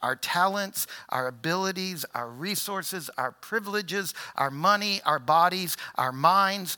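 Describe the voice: A plain read-aloud.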